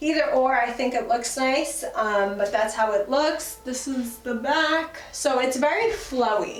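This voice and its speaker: A woman's high-pitched voice at a fairly slow pace, with ordinary pitch variation, music playing behind and audible room echo. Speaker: fashion YouTuber. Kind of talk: try-on haul vlog. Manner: animated.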